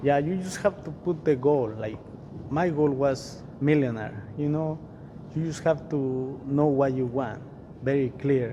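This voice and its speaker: With a non-native accent, a man talks at a fairly slow pace in a fairly high voice with ordinary pitch variation, and room echo is audible. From Mexico. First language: Spanish. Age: 40s. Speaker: real estate investor. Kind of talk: interview.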